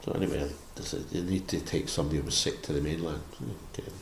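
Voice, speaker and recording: A man talks at a very fast pace with a west of Scotland accent. Audible room echo surrounds his voice. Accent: west of Scotland Scottish. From Scotland (Barrhead, near Glasgow). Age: 70s. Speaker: missionary priest. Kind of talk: interview. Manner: halting.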